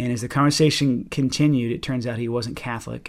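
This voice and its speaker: A man with an American accent talks at a fairly quick pace in medium pitch. His pitch varies in an ordinary way, and it is an unremarkable speaking voice. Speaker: pianist and composer. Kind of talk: casual interview conversation.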